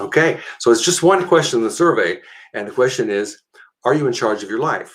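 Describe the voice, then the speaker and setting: A man with an ordinary speaking voice talks at a fairly quick pace, his fairly high pitch rising and falling in lively intonation. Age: 60s. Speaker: personal development show host. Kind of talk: casual chat.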